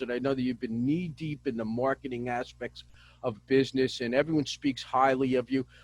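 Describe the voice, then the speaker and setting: A man speaks with a New Jersey accent. His pitch is medium, with ordinary variation. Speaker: business show host. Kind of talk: interview.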